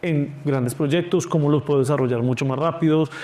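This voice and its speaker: Noticeable background noise surrounds a man speaking at a fairly quick pace. His pitch is fairly high, with ordinary pitch variation. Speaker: food company founder. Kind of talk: interview. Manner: fast.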